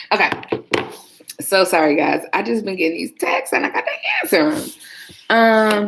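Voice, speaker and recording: Noticeable background noise sits behind a woman with a medium pitch and lively intonation. She talks at a moderate pace with long, frequent pauses. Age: 30s. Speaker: former police dispatcher and vlogger. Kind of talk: casual livestream chat. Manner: soft-spoken; chatty, clear enunciation.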